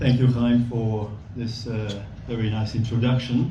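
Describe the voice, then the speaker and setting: Audible room echo and noticeable background noise around a man's medium-pitched speech at a moderate pace. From Belgium. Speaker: volunteer bike instructor. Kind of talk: speech at an event. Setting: gala dinner with audience.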